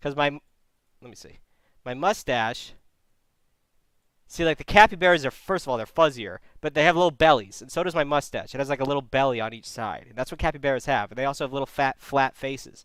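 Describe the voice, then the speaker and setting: Animated in tone, a man rushes along at a very fast pace, his loudness swinging widely between long, frequent pauses. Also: ordinary pitch variation, very clean recording, silent background. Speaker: streamer and advice show host. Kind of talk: casual chat on a livestream.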